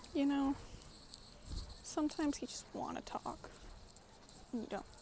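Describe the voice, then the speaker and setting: A woman speaks at a moderate pace in a high voice. Her speech is broken by long, frequent pauses. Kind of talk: casual vlog monologue. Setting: outdoors in a public park. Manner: halting, stuttering.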